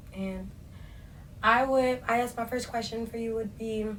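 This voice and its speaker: A woman speaks at a fairly slow pace with a medium pitch and fairly even intonation, sounding somewhat breathy. Room echo is audible. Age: young. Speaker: podcast co-host. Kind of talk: casual chat.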